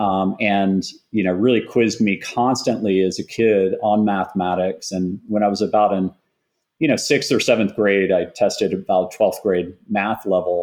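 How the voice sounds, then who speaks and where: With an American accent, a plain, everyday voice talks at a moderate pace with fairly even intonation against a quiet background. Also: man, fairly low pitch for a man. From Texas, Austin. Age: 40s. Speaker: tech entrepreneur. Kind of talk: interview.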